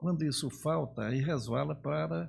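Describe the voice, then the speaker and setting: A man speaks in a somewhat breathy voice. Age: 70s. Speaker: veteran politician. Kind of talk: interview conversation.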